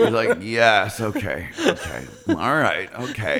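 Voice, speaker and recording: The tone is animated, and there is noticeable background noise behind it. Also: man. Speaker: podcast host. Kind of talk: casual chat. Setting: studio.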